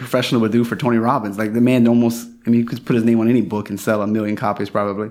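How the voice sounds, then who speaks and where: Speaking at a very fast pace, a man with a Louisiana accent has a medium pitch. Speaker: podcast host, chiropractor. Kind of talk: interview conversation.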